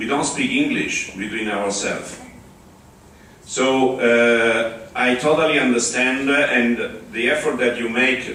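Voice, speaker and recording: A man with an Italian accent, fairly slow pace and fairly even intonation, with audible room echo and noticeable background noise. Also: medium pitch for a man. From Italy. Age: 60s. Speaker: open-source community spokesperson. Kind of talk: conference talk. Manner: halting.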